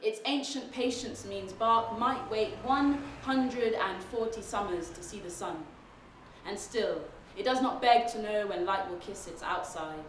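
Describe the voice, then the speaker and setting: Noticeable background noise runs behind a woman speaking at a fairly slow pace. Her fairly high voice shows ordinary pitch variation and big swings in loudness. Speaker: poet. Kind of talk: spoken word poetry performance.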